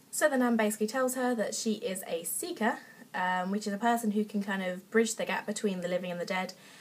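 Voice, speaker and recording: A woman with an English accent talks at a very fast pace in a fairly high, somewhat breathy voice with ordinary pitch variation. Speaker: book reviewer. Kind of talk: casual book review vlog. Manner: hesitant, many fillers.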